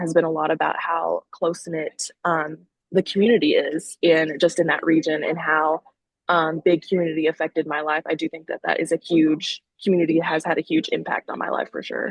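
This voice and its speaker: Dry and close with no echo, a woman's voice moves at a fairly quick pace in a Southern US accent. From Missouri Bootheel, southeast Missouri. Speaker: veterinary student. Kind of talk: interview. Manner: hesitant, many fillers.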